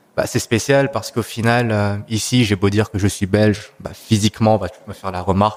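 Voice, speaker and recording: A man talks at a fairly quick pace with hardly any pauses, his loudness swinging widely. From Belgium, Brussels. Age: 30s. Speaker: podcast guest. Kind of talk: casual chat. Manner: hesitant, many fillers.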